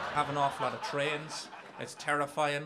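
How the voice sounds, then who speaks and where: A man with an Irish accent talks at a fairly quick pace in a bright, sharp tone, his intonation monotone and flat over light background noise. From Ireland. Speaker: stand-up comedian. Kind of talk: stand-up comedy set. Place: stage. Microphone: handheld.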